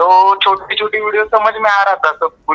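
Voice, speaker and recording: The sound is dry and close, with no echo. A man speaks with a Marathi accent. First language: Marathi (speaking Hindi). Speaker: student. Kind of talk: testimonial. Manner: halting.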